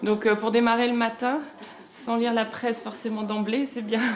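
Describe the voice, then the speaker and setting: A woman with a fairly high voice talks at a moderate speed as noticeable background noise plays. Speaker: lawyer. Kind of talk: interview.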